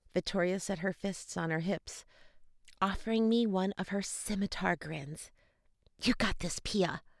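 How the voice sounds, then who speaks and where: On a very clean recording with a silent background and a dry, close sound with no echo, a woman talks slowly-ish at medium pitch, at a fairly slow pace. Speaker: audiobook narrator. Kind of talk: audiobook narration of a YA fantasy novel.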